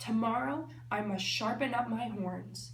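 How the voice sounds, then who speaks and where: Using a put-on character voice at a medium pitch, a woman speaks at a moderate pace. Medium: read story.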